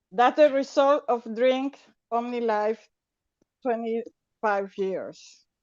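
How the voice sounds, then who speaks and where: A woman's high voice with a Spanish accent, ordinary pitch variation, a very slow pace and long, frequent pauses. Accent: Spanish accent, non-native English. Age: 60s. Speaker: network marketing distributor. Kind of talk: testimony. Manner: halting.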